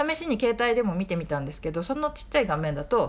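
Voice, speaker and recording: Talking at a very fast pace, a woman with a fairly high pitch makes very wide pitch swings. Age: 40s. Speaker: podcaster, film reviewer. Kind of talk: casual monologue film review. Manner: chatty, informal.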